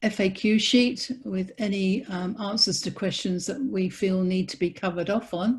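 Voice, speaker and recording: The speaker has an English accent, a somewhat breathy voice and ordinary pitch variation, at a moderate pace. There are hardly any pauses, and the background is quiet. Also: woman, medium pitch for a woman. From England. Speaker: business training host. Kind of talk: webinar training call.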